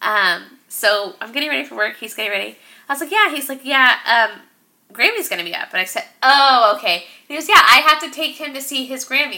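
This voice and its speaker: Raising and projecting her voice, a woman speaks high and at a fairly quick pace, with very wide pitch swings and big swings in loudness. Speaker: podcast co-host. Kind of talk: casual chat. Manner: animated.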